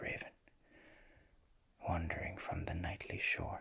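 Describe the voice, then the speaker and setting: A man whispers in a gentle tone. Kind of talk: poetry reading, ASMR. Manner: soft-spoken, gentle.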